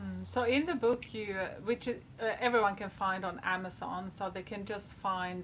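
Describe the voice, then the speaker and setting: A woman speaks at a moderate pace in a Swedish accent. Her pitch sits in the medium range, with ordinary variation. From Sweden. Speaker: podcast host. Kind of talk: interview.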